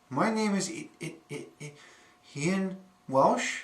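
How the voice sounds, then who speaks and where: A man with a high pitch speaks at a very slow pace, with audible room echo and noticeable background noise. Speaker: student. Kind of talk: class presentation. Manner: repetitions and blocks.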